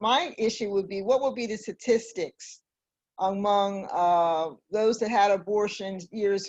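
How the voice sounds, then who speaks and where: Against a quiet background, a woman talks at a fairly slow pace and medium pitch, with ordinary pitch variation. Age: 60s. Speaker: community organization president. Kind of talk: panel discussion. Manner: halting.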